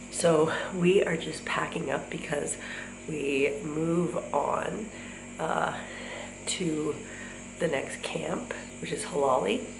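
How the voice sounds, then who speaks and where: A woman speaks at a very slow pace with a very deep, low pitch and ordinary pitch variation, leaving long, frequent pauses, while noticeable background noise and audible room echo fill the recording. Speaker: travel vlogger. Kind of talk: casual vlog narration. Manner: hesitant, many fillers.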